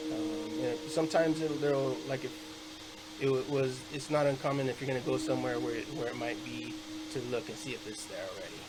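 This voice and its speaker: There is noticeable background noise and audible room echo as a man talks at a fairly quick pace. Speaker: student presenter. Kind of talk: class presentation. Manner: halting, many fillers.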